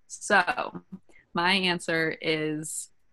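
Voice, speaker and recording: A woman's fairly low voice has a bright, sharp tone, captured in a very clean recording with a silent background. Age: 20s. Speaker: dating podcast co-host. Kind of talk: casual chat.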